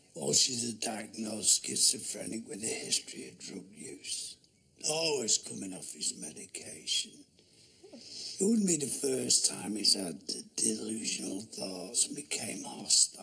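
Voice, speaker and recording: A man talks in a put-on character voice at a moderate pace. His pitch sits fairly low. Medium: short film. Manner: blunt, factual.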